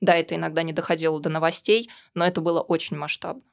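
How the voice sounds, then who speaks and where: The speaker uses vocal fry at a fairly quick pace, recorded very cleanly against a silent background with a dry, close sound and no echo. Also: woman. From Russia. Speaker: libertarian activist. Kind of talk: interview. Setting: studio.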